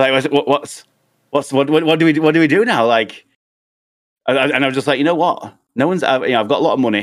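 In a British accent, a man with a fairly high voice talks at a very fast pace, with ordinary pitch variation, very even loudness, and long, frequent pauses. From United Kingdom. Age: 30s. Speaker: video game streamer. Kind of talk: casual chat.

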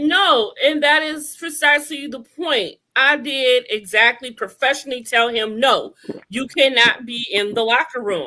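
Raised and projected, a woman's high, bright, sharp voice moves at a fairly slow pace with lively intonation. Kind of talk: heated debate. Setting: video call.

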